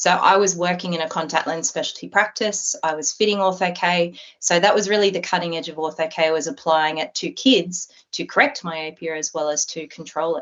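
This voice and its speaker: Speaking with an Australian accent, a woman uses a fairly low pitch. She leaves hardly any pauses. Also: ordinary pitch variation, moderate pace. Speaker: optometrist. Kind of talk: interview.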